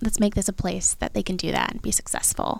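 A woman with a Western Canadian accent and a fairly high pitch. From Abbotsford, British Columbia, Canada. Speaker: sommelier and local politics candidate. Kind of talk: casual chat.

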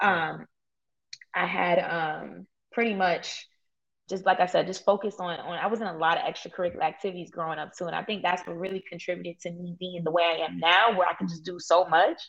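A woman with an American accent, fairly low in pitch, with vocal fry, fairly even intonation, big swings in loudness and a fairly quick pace over a quiet background. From Brooklyn, New York. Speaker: entrepreneur and Airbnb host. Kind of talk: interview.

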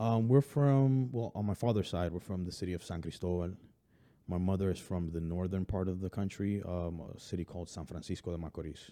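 Low-pitched and with an American accent, a man talks at a fairly quick pace in a dark, mellow tone with ordinary pitch variation.

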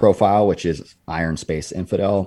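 A man's dark, mellow voice in a West Coast US accent, at a moderate pace. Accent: General American (West Coast). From California. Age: 30s. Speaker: former SWAT officer and fitness content creator. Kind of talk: casual interview chat.

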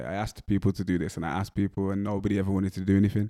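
Speaking very fast in a West Midlands accent, a man has a fairly low pitch and a dark, mellow tone. The recording is very clean and dry, close with no echo and a silent background. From West Midlands, England. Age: 20s. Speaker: rapper and music producer. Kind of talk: casual interview. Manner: monotone.

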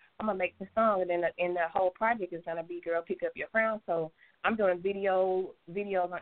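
With a Southern US accent, a woman talks at a fairly quick pace in a fairly low pitch and a flat, monotone intonation. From US South. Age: 30s. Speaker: singer. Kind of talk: interview. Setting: phone call.

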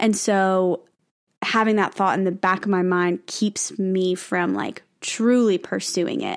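A woman at medium pitch and a fairly slow pace, an ordinary speaking voice on a very clean recording with a silent background. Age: 20s. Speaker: podcast co-host, singer-songwriter. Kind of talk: casual chat; reading from notes.

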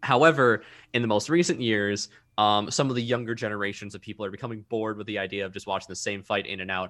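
Very fast speech in an American accent, with ordinary pitch variation, comes through a very clean recording with a silent background. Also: man, fairly low pitch for a man. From Minnesota. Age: 20s. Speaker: voice actor and streamer. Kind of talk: casual chat. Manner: halting, many fillers.

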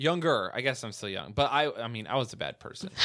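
The voice has vocal fry and a bright, sharp tone, with very wide pitch swings. It moves at a very fast pace in a very clean recording with a silent background. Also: man. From small town. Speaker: comedian. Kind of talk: casual chat.

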